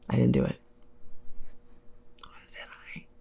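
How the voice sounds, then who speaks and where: A fairly quick pace in an American accent. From United States. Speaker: vlogger. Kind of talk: casual monologue. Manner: animated.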